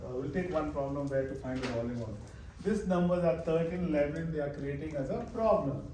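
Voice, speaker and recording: Speaking at a fairly quick pace, a man with a fairly high pitch and ordinary pitch variation is heard over noticeable background noise and audible room echo. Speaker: math teacher. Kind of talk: live classroom lecture. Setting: classroom. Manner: halting.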